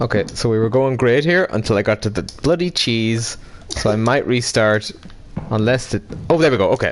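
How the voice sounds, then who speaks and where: Over noticeable background noise, a man at medium pitch talks at a fairly quick pace, with very even loudness and ordinary pitch variation. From Ireland, County Monaghan. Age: 20s. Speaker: gaming streamer. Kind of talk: casual chat.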